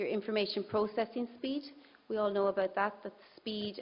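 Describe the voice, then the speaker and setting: A woman with an Irish accent, fairly even intonation and a fairly quick pace. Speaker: conference speaker on brain health. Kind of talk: presentation.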